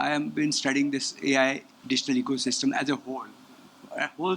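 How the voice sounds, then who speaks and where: A man at a fairly high pitch, fairly quick pace and fairly even intonation, with noticeable background noise. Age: 70s. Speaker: audience member asking question. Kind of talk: audience question.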